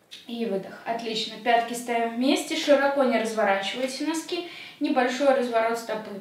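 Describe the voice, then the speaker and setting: A woman talks in a high voice with fairly even intonation. The room echo is audible. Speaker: fitness instructor. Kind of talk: exercise instruction. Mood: calm, lightly humorous. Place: home room.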